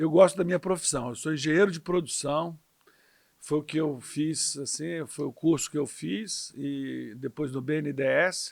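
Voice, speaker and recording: A normal speaking voice moves at a fairly slow pace. Its pitch variation is ordinary. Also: man, fairly high pitch for a man. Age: 60s. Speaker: politician. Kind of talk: interview.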